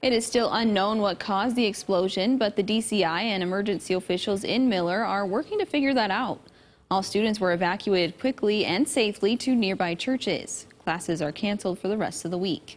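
With a normal speaking voice, a woman talks at medium pitch with ordinary pitch variation and hardly any pauses. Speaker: news anchor. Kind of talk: news reading. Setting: studio.

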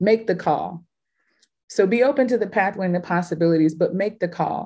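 A woman with an American accent, moderate pace and ordinary pitch variation, over a quiet background. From Houston, Texas. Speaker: curator and artist; panelist. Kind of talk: panel discussion. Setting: video call. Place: home room. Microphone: webcam.

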